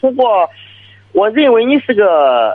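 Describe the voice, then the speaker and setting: Speech from a man comes very slowly. Its pitch swings across a very wide range. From Shandong. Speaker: village party secretary, caller. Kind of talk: call-in advice conversation. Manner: halting.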